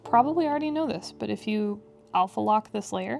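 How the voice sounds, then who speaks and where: Music plays in the background as a woman talks at a moderate pace with lively intonation. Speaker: digital artist, video creator. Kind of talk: drawing tutorial commentary. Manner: casual, rambling with fillers.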